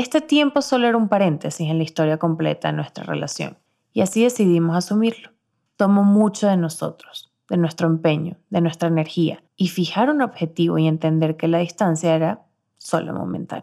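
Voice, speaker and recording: Warm yet dark and mellow, the tone comes through on a very clean recording with a silent background. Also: woman, fairly low pitch for a woman, ordinary pitch variation, moderate pace. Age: 20s. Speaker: podcast host. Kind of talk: scripted narration. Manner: warm, intimate.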